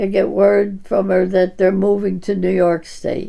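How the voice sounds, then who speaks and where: With vocal fry and a dark, mellow tone, a woman talks at a moderate pace. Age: 90s. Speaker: centenarian-to-be community member. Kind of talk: interview. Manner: halting.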